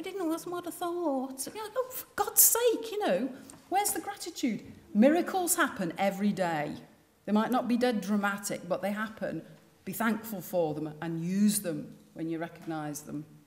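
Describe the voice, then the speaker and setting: A woman's animated voice with very wide pitch swings at a moderate pace. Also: high pitch for a woman, big swings in loudness. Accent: Liverpool. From northern England, Liverpool. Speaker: designer giving a talk. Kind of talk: public speech.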